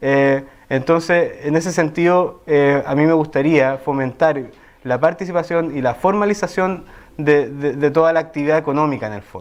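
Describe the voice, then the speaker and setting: An unremarkable speaking voice from a man, pitched fairly high. He keeps a moderate pace with ordinary pitch variation. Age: 30s. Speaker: parliamentary candidate. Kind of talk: interview answer.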